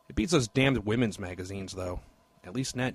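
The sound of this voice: An unforced reading voice is heard, with pitch varying in an ordinary way.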